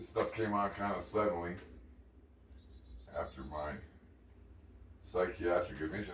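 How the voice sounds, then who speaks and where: A man's moderately paced speech carries an audible echo from the room. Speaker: home cooking vlogger. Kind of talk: casual cooking vlog. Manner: halting, many ums and repetitions.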